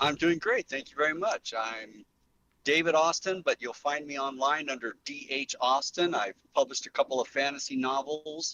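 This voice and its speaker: Fairly high in pitch, a man with an ordinary speaking voice talks at a moderate pace with ordinary pitch variation. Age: 60s. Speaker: novelist and game writer. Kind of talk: casual chat.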